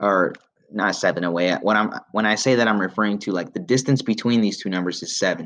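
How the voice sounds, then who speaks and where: A man speaks in an ordinary speaking voice, fairly low in pitch with ordinary pitch variation. The background is quiet. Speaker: math teacher. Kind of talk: tutorial.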